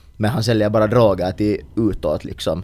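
A man speaks at a fairly low pitch. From Finland. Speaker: podcast co-host. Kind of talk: casual chat.

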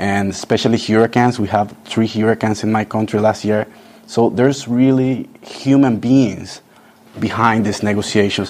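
Monotone, flat intonation comes at a moderate pace over noticeable background noise. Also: man, medium pitch for a man. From Nicaragua. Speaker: youth climate activist. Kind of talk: interview.

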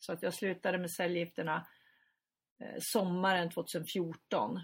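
The speaker goes at a fairly slow pace with long, frequent pauses. The voice is somewhat breathy, with ordinary pitch variation. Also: woman. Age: 50s. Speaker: journalist and editor, brain tumour survivor. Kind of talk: interview.

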